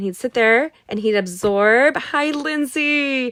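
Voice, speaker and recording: Loud and high-pitched, a woman speaks with lively intonation in an American accent. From California, US. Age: 40s. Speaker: craft instructor. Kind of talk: live craft tutorial and chat. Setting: livestream from home studio in attic. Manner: fast.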